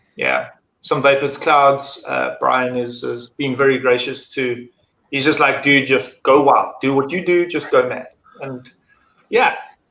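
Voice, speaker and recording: A man with a South African accent speaks at a fairly slow pace. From South Africa, Durban. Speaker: acrylic mod maker and vape reviewer. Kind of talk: casual chat.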